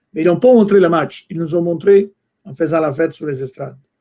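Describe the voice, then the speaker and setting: The speaker is a man with a non-native accent. His voice has a dark, mellow tone. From Italy. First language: Italian (speaking French). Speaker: soccer executive, former fan club president. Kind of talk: interview. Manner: halting.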